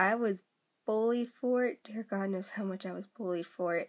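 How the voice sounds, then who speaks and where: The background is quiet. A woman talks at a fairly slow pace. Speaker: vlogger. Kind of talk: casual vlog chat, personal story. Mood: earnest, opening up. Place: home room. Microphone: phone near.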